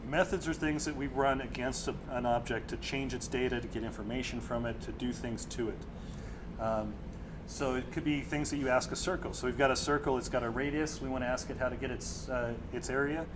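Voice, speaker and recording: Audible room echo surrounds the voice. A man talks at a fairly quick pace. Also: medium pitch for a man, fairly even intonation. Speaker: software developer presenting at user group. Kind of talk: technical presentation. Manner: fast.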